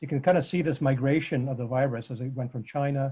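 Somewhat breathy, a man talks at a very fast pace over a quiet background. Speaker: presenter. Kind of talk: lecture. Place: home room. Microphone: video call.

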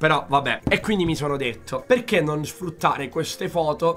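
A man talks fairly quickly while noticeable background noise fills the recording. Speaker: YouTuber. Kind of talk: reaction video commentary. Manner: animated.

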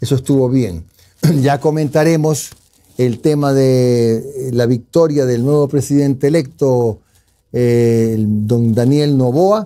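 Here a man speaks at a very slow pace, his medium pitch carrying a dark, mellow tone. The pitch varies in an ordinary way. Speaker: news show host. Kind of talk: news discussion show.

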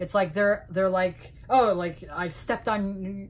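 A woman is speaking. Her voice is somewhat breathy. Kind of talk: casual vlog rant. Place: home room. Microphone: phone near.

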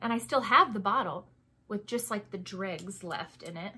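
At a moderate pace, a woman speaks in a bright, sharp tone with ordinary pitch variation. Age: 30s. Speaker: beauty and lifestyle vlogger. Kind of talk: casual monologue product review. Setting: home recording. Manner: chatty, self-deprecating, laughs often.

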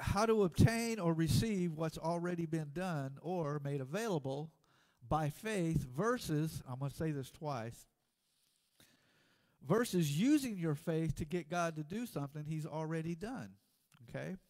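Against little background sound, a man talks fairly slowly. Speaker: preacher. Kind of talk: sermon. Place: church.

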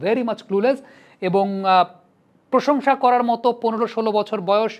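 A man against a quiet background. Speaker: cricket analyst and former first-division cricketer. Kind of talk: commentary monologue to camera. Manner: conversational, frequent English code-switching.

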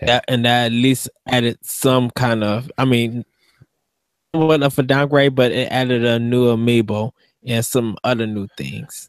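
Over a quiet background, a man speaks at a fairly slow pace with fairly even intonation, the sound dry with no echo. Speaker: podcast co-host. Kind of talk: casual chat. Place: home room. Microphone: studio mic.

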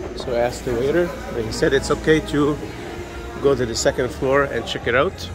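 While a man talks at a moderate pace, clear music plays behind him. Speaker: travel vlogger. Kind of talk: casual vlog chat. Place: church. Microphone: phone near.

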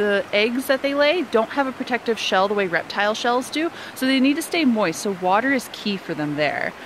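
At a moderate pace, a woman's voice moves through very wide pitch swings, in a dry sound with no echo over light background noise. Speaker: nature educator. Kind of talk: outdoor educational walk-and-talk. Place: forest. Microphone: phone near.

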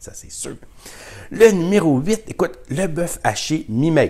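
Somewhat breathy and animated in tone, a man speaks with a Quebec accent. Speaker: YouTuber sharing grocery deals. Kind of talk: casual vlog talk to camera.

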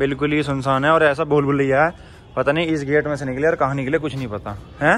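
A man at a very fast pace, flat and monotone, with faint music in the background. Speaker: travel vlogger. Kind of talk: casual vlog chat. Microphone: phone near.

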